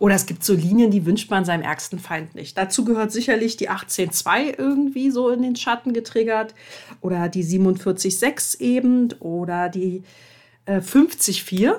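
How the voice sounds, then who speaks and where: A normal speaking voice with lively intonation at a fairly slow pace, on a very clean recording with a silent background. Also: woman, medium pitch for a woman. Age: 30s. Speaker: podcast host and coach. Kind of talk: solo podcast monologue. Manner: casual with frequent fillers.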